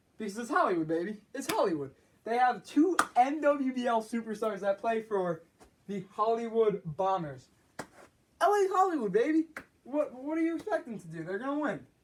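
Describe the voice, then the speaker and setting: His pitch is extremely high for a man and swings very widely. The man's loudness also rises and falls in big swings. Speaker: amateur sports league commentator. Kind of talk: solo video segment, roster breakdown. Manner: fast; animated, halting with fillers.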